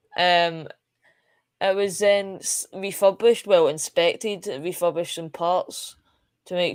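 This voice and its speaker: The voice has a Scottish accent and a fairly slow pace. The recording is very clean, with a silent background. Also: woman. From Scotland. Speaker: space live stream host. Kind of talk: live stream commentary. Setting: live stream. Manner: halting, many fillers.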